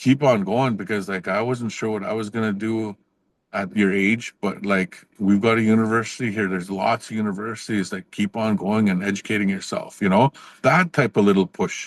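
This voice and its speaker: This man has a Canadian accent and a fairly low pitch. His intonation is fairly even, and the sound is dry and close with no echo. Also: moderate pace. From northern Saskatchewan, Canada (Cree First Nation). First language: Cree. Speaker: professor. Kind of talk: podcast interview. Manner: casual, with frequent fillers and restarts.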